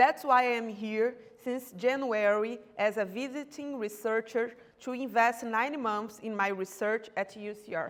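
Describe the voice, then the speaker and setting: A woman with a Brazilian accent talks at a fairly slow pace. Her pitch is fairly high and her intonation fairly even. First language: Portuguese. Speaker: doctoral researcher. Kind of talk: academic seminar presentation. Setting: university seminar room. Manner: halting, with self-corrections.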